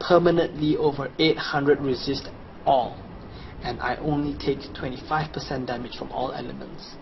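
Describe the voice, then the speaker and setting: A man with a Chinese accent at fairly high pitch, moderate pace and fairly even intonation, over noticeable background noise. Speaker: video game guide presenter. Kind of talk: sales pitch with gameplay walkthrough. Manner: casual, conversational.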